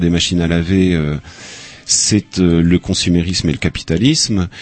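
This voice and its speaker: A man speaks at a very deep, low pitch. Background noise is noticeable. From Upper Brittany, France. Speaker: audiovisual archivist. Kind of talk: interview.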